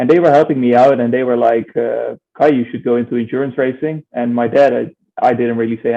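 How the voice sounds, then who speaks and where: The speaker talks at a very fast pace with fairly even intonation and a slight Dutch accent. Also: man. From Netherlands. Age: 20s. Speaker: racing driver. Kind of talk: interview.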